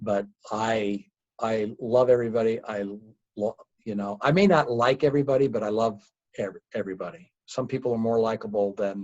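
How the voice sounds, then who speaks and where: A man with a normal speaking voice, medium in pitch, with ordinary pitch variation and a moderate pace. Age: 60s. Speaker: company founder. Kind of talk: interview.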